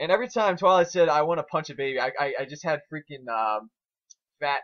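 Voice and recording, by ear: Talking fast, this man has a fairly high pitch, a fairly bright tone and lively intonation.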